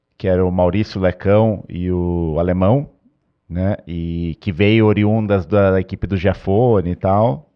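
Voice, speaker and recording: A man talks in a very deep, low pitch. His pace is fairly slow and his intonation fairly even. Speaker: racing driver. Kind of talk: casual podcast chat.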